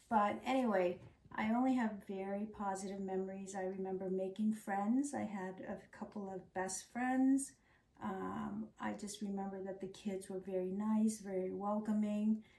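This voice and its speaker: Over noticeable background noise, a woman with an American accent speaks at a fairly slow pace and medium pitch with fairly even intonation. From Laos, then Thai refugee camp, raised from age 9 in Tennessee and Arizona. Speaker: refugee immigrant, former teacher. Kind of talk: oral history interview.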